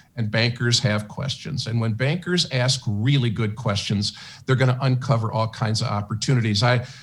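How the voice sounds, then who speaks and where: A man with a medium-pitched, somewhat breathy voice talks at a moderate pace on a very clean recording with a silent background. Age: 70s. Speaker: sales training consultant for banks. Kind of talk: radio interview. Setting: radio studio broadcast.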